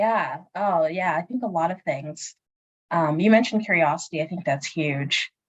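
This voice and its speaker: A woman's unremarkable speaking voice with an American accent, fairly low in pitch, with ordinary pitch variation and a moderate pace. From Northern Virginia, US. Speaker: space engineer. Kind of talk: career Q&A conversation.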